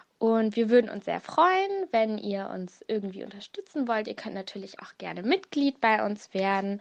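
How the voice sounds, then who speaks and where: A woman at a moderate pace, with hardly any pauses and big swings in loudness. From Hannover, Germany. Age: young. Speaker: student and volunteer. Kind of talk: recorded statement.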